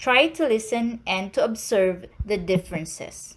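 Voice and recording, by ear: Speaking with a Filipino accent, a woman uses lively intonation at a fairly high pitch and a fairly slow pace.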